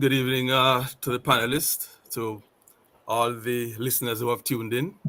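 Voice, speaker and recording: A man speaks with a Jamaican accent. His pitch sits in the medium range. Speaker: retail sales manager. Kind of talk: panel discussion.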